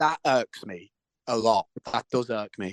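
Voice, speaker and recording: Over a quiet background, a man speaks with a Liverpool accent. His pitch is fairly low, and the sound is dry and close with no echo. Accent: Scouse. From Liverpool, England. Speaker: actor and musician. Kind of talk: interview. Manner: halting, with many repetitions.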